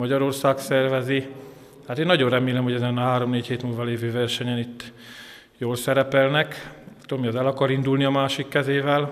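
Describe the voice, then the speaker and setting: Noticeable background noise sits under a man's medium-pitched voice. He talks at a moderate pace in a flat monotone. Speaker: swandi coach. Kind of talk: interview statement about competition results.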